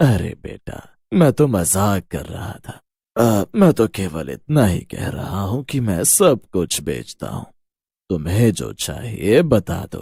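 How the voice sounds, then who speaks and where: A man's put-on character voice at a fairly low pitch. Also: fairly slow pace. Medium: audio drama. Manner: folksy, sly, ominous.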